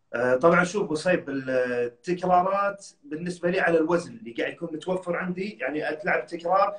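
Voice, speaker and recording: Against a quiet background with audible room echo, a man talks at a high pitch. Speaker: professional bodybuilder and personal trainer; personal trainer. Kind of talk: casual interview. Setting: Instagram live video call. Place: home room. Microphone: phone near.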